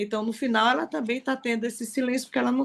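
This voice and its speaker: A woman's fairly high voice at a very fast pace against a quiet background. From Recife, Brazil. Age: 60s. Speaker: participant in an online reading circle. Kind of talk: testimony in a group discussion.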